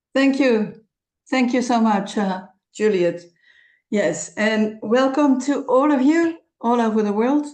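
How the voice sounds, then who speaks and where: Against a quiet background, a woman with a Dutch accent talks at a very slow pace in a high voice. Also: lively intonation, very even loudness. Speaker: creative consultant and presenter. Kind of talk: online presentation. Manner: halting.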